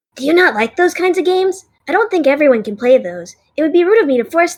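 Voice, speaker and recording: A put-on character voice, high-pitched and delivered at a very fast pace. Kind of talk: audio drama dialogue.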